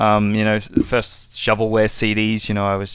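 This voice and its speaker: Talking at a moderate pace, a man with an Australian accent has a fairly low pitch. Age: 30s. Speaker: listener leaving a voicemail. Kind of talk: voicemail message.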